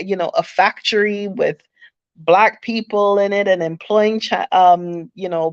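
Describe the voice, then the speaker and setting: Over a quiet background, a woman talks at a very slow pace in a monotone, flat way, with a dry, close sound and no echo. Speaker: channel host, entrepreneur. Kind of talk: livestream monologue. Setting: live stream. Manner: halting, many fillers.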